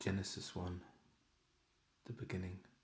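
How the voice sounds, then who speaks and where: A man speaks softly at a fairly slow pace. His voice is fairly low-pitched and somewhat breathy. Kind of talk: bible reading. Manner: soft-spoken.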